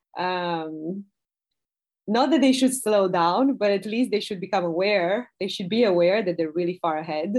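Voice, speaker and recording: The speaker has a Romanian accent and ordinary pitch variation. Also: woman. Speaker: product director. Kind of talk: interview conversation.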